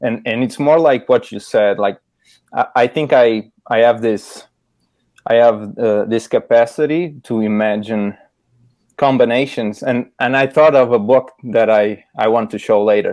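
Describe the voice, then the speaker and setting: Against a quiet background, a man with a Portuguese accent talks at a fairly slow pace with medium pitch and fairly even intonation. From Portugal. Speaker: illustrator. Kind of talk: casual interview chat. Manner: halting, many repeated words.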